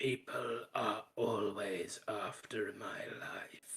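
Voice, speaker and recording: A very slow, raspy put-on character voice from a man. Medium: actual play. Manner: formal, condescending.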